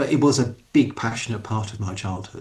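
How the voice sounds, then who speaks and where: Somewhat breathy delivery in an English accent. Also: man. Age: 50s. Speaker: writer. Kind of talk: interview.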